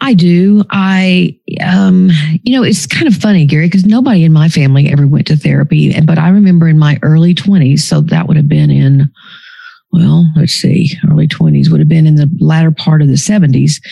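Amid noticeable background noise, a woman with a very deep, low pitch speaks at a moderate pace, her loudness very even and her pitch variation ordinary. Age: 60s. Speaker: psychologist and author. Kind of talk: interview conversation.

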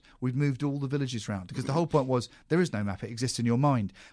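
In a very clean recording with a silent background, a man with a British accent talks very fast at a medium pitch. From UK. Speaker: podcast host, comedy writer. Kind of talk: casual chat.

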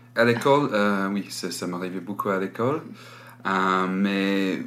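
There is noticeable background noise behind the speaker. A man with an English accent speaks at a fairly low pitch. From England, Malvern. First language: English (speaking French). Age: 20s. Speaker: music journalist. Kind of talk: interview. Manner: halting.

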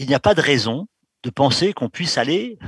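A man talks at a moderate pace and a medium pitch, with very wide pitch swings. The sound is dry and close, with no echo. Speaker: exobiologist. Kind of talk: interview. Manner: firm.

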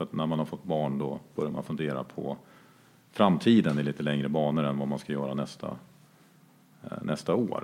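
A man speaks with a very deep, low pitch. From Jämtland, Sweden. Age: 40s. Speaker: entrepreneur. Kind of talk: interview.

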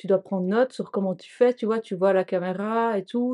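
The intonation stays fairly even, and the tone is dark and mellow. The sound is dry and close with no echo, against a quiet background. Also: woman. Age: 30s. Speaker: vegan cooking trainee. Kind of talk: casual chat.

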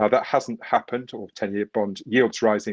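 A man's plain, everyday voice, medium in pitch with fairly even intonation, in a dry, close sound with no echo. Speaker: equity investor. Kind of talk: panel discussion.

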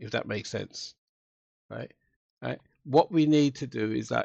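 A man with a London accent speaks at a moderate pace with ordinary pitch variation and vocal fry. The sound is dry and close with no echo, over a quiet background. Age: 60s. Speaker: former police officer and diversity trainer. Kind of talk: interview conversation.

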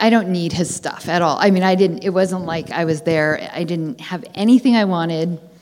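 A woman speaks at a moderate pace in a normal speaking voice, her pitch fairly low with ordinary variation. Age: 40s. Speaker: audience member asking a question. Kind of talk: live audience Q&A. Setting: stage with audience.

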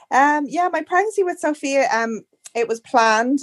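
A woman speaks with an Irish accent and lively intonation. The recording is very clean, with a silent background. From Ireland. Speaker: first-time mother sharing birth story. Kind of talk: casual interview chat.

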